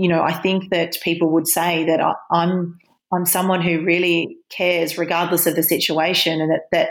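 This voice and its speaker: On a very clean recording with a silent background, a woman talks at a moderate pace in a fairly low pitch. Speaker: property management trainer. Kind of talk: podcast interview. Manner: animated.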